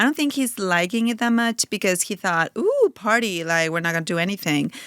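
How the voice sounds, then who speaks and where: A woman with a Spanish accent speaks with lively intonation, recorded very cleanly against a silent background with a dry, close sound and no echo. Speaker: mother of four, podcast guest. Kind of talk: casual chat.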